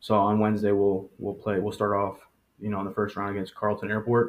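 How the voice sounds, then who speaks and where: Speaking at a moderate pace, a man with a fairly low pitch keeps a monotone, flat intonation. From Monroe, Michigan. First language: Spanish. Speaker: high school soccer coach. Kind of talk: interview.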